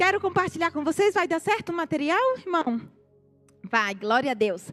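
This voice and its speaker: With a northeastern Brazilian accent, a woman speaks at an extremely high pitch with very wide pitch swings over noticeable background noise. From Brazilian Northeast, Natal, Rio Grande do Norte. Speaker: missionary. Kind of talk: church testimony.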